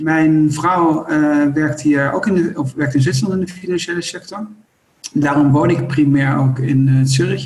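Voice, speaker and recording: A man at fairly high pitch, ordinary pitch variation and a moderate pace, with audible room echo. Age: 50s. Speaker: company co-founder. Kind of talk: interview.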